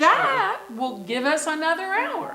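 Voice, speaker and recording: A woman puts on a squeaky character voice, high in pitch and fairly slow. Loud background noise runs behind her. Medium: stage play. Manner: keeps saying "I mean".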